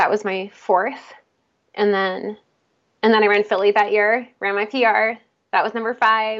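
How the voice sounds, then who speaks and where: A woman's fairly high voice, flat and monotone, at a fairly slow pace with long, frequent pauses. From Pennsylvania, outside Philadelphia. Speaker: musician and marathon runner. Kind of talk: casual interview.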